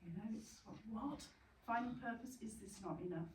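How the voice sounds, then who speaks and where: A woman's somewhat breathy voice, with ordinary pitch variation, comes through audible room echo. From Yorkshire, northern England. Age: 60s. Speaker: bereaved parent speaker, retired teacher. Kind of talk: talk to support group. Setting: retreat venue with audience. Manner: hesitant, many fillers.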